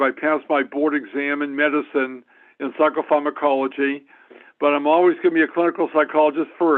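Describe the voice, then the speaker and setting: A man with a fairly high pitch, monotone, flat intonation and a fairly quick pace. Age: 70s. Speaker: clinical psychologist. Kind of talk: self-introduction at meeting. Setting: phone call on speakerphone. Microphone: speakerphone.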